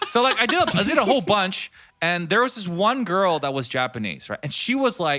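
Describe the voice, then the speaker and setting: A man speaks loudly in a bright, sharp tone at a moderate pace. His pitch swings very widely. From Hong Kong. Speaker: streamer. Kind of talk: casual chat.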